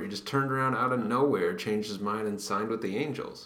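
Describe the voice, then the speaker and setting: Over noticeable background noise, a man speaks at a very fast pace. His voice is quiet. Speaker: baseball podcast co-host. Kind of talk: casual chat. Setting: library study room. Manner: hushed.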